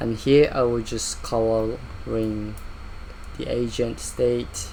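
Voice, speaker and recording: A man talks at a very slow pace. Room echo can be heard. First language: not English. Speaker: VFX artist. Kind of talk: software walkthrough. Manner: halting, with fillers.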